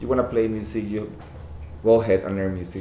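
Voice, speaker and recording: A man speaks with a Costa Rican accent at a fairly low pitch. Noticeable background noise and audible room echo fill the recording. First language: Spanish. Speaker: fashion designer. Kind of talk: casual interview chat. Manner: halting.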